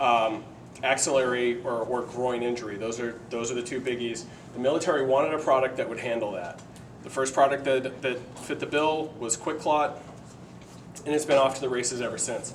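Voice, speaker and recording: In a room with audible echo, a man of medium pitch talks at a fairly quick pace with fairly even intonation. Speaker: paramedic and nurse instructor. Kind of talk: live lecture demonstration. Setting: live class with audience. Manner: fast.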